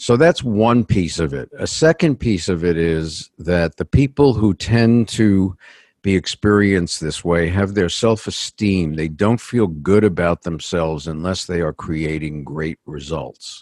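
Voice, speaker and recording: In a New York accent, a man with a very deep, low pitch and ordinary pitch variation speaks at a fairly slow pace, the sound dry and close with no echo. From New York City. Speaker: executive coach. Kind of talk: interview.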